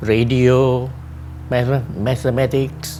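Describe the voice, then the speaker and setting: A man with a Singaporean accent, with audible room echo and music in the background. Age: 80s+. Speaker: retired telecoms engineer. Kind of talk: interview. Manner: halting.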